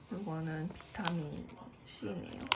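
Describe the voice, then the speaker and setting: Noticeable background noise runs behind the voice. The speech moves at a very slow pace. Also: woman. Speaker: vlogger. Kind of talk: casual vlog talk. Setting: at home in quarantine.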